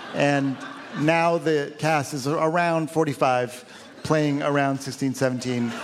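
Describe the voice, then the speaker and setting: Very slowly, a man speaks at a fairly high pitch with very even loudness and fairly even intonation, against noticeable background noise. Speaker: film director. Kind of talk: comedic interview. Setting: stage with audience.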